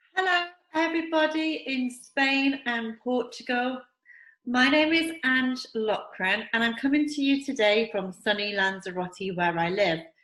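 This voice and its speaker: Speaking fairly slowly with an English accent, a woman uses a high, bright, sharp voice that moves through very wide pitch swings. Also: quiet background. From England. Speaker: network marketing distributor. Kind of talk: promotional video talk. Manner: enthusiastic.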